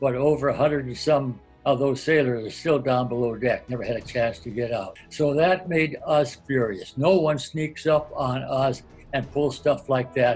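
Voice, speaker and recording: Music plays in the background as a man with a fairly high pitch speaks at a moderate pace with ordinary pitch variation. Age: 90s. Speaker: World War II Navy veteran. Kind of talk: interview answer.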